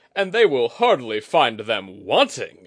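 Using a put-on character voice, a man growls at a fairly slow pace. His pitch sits at a medium level. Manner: snarling, angry.

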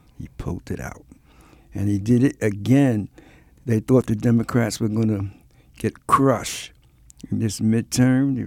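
A man with a medium-pitched voice and ordinary pitch variation talks at a fairly slow pace. The sound is dry and close, with no echo. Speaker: jazz podcast host. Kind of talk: podcast hosting with music commentary. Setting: studio.

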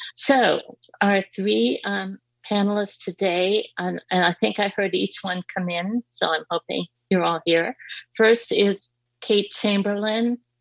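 A very slow pace with ordinary pitch variation, in a dry, close sound with no echo. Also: woman, medium pitch for a woman. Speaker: panel moderator, advocacy group co-chair. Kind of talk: moderated panel discussion. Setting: video conference call. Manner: hesitant, many fillers.

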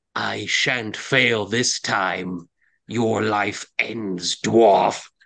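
In a put-on character voice, a man speaks with a raspy, fairly low pitch. His pace is very slow. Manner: cackling, wicked.

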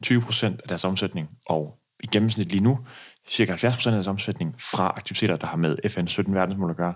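An unremarkable speaking voice from a man, fairly low-pitched at a moderate pace, on a very clean recording with a silent background. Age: 20s. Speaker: pension company founder. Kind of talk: interview.

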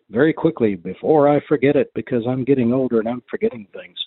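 With an American accent, a man speaks at a moderate pace at a medium pitch with lively intonation. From US South. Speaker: listener. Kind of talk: voice message.

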